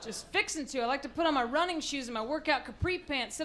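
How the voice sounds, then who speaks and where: Through noticeable background noise, a woman with an American accent talks at a very fast pace in a high voice with ordinary pitch variation. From Texas, Amarillo. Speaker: comedian. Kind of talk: stand-up. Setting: stage with audience. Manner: animated.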